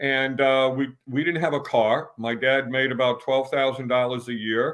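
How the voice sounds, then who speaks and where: A man talks with a New York accent. His pitch is fairly high. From New York City, Queens. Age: 70s. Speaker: baseball fan and storyteller. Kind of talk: casual interview.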